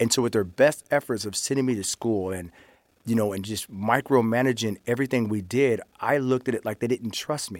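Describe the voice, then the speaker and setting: In a plain, everyday voice, a man talks at a fairly quick pace and a medium pitch with ordinary pitch variation, in a dry, close sound with no echo. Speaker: former inmate. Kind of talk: testimony.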